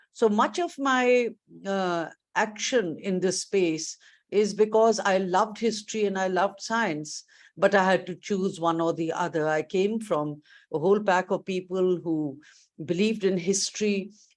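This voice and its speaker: A woman with an unremarkable speaking voice, a fairly slow pace and ordinary pitch variation, against a quiet background. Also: medium pitch for a woman. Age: 60s. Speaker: education leader, keynote speaker. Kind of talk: keynote speech. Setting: virtual conference.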